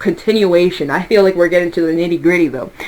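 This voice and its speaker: A woman talks with lively intonation over noticeable background noise. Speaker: tarot reader. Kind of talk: tarot reading monologue. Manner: fast; loud.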